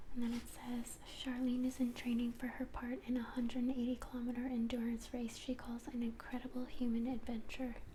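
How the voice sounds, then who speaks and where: The voice is soft-spoken and fairly quick, with hardly any pauses. There is noticeable background noise. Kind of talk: soft-spoken ASMR reading a magazine aloud to camera. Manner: soft-spoken, rambling.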